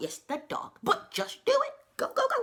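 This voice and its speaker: A woman uses a put-on character voice, squeaky and extremely high in pitch. She keeps a moderate pace. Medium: read story. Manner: warm, folksy, calls people honey.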